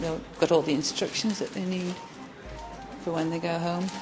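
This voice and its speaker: There is noticeable background noise behind a woman speaking with an English accent. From England. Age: 50s. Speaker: theatre nurse. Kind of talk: interview testimony. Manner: halting, with many fillers and repetitions.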